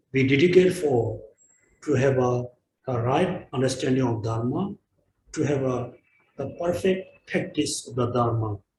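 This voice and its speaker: A somewhat breathy man at a medium pitch, with ordinary pitch variation, a fairly slow pace and long, frequent pauses. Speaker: Buddhist teacher. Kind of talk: dharma teaching and dedication. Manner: halting.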